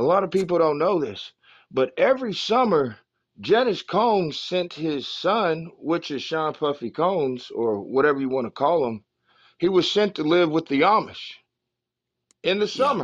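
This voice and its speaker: A man speaks in a high pitch with very wide pitch swings. The background is quiet. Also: moderate pace. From Oklahoma. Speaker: podcast co-host. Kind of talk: casual chat.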